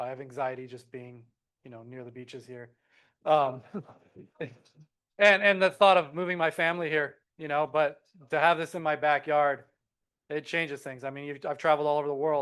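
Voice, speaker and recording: In a Hawaiian accent, a man speaks at a moderate pace and fairly high pitch, with fairly even intonation, big swings in loudness and long, frequent pauses against a quiet background. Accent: Hawaiian American English. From Hawaii (Kauai). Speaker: wave park developer. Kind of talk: public meeting presentation.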